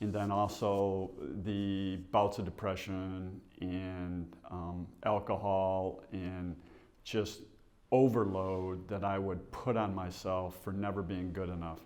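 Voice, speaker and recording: With an American accent, a man speaks very slowly in a very deep, low pitch and monotone, flat intonation, with audible room echo. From Michigan, US (Bay City). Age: 60s. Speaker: realtor. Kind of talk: testimony.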